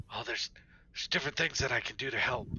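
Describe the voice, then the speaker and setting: Using a put-on character voice, a man rasps his way through the lines at a very fast pace. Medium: actual play. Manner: hesitant, stammering.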